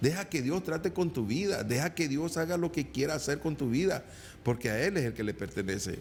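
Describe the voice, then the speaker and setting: The voice carries vocal fry and moves at a fairly quick pace. Its loudness is very even. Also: man, fairly high pitch for a man. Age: 60s. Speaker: evangelical preacher. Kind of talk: sermon. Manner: halting, repeats words.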